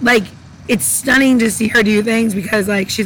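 Fairly even intonation against noticeable background noise. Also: woman. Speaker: cocktail mixologist co-host. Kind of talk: casual chat. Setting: outdoors.

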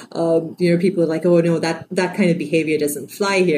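Through noticeable background noise, a woman with a very deep, low pitch talks at a fairly quick pace with fairly even intonation. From Sri Lanka. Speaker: novelist. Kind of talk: interview.

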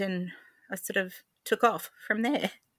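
A woman with an Australian accent has a bright, sharp tone and speaks at a fairly slow pace. Her intonation is fairly even, and the recording is very clean with a silent background. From regional New South Wales, Albury. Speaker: handmade crafts maker, former interior designer. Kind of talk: interview conversation.

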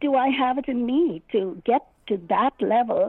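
Her intonation is lively. The woman's voice is high. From India. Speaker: children's author, retired teacher. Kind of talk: interview. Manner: animated, laughs often.

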